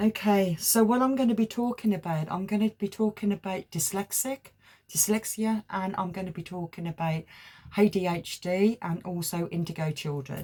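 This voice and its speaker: A woman with an English accent, a medium pitch, a dark, mellow, somewhat breathy tone, ordinary pitch variation, and a moderate pace. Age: 60s. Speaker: tarot reader. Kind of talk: spiritual talk to camera. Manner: halting.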